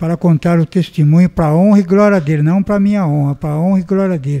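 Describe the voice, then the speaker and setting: Heard dry and close with no echo, a man with a high pitch and a dark, mellow tone talks at a fairly quick pace with fairly even intonation. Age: 60s. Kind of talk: testimony.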